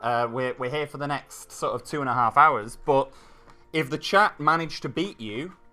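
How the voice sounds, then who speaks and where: Music plays in the background as a man with a fairly high pitch talks at a moderate pace with ordinary pitch variation. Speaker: stream host. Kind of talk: casual stream chat. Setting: livestream.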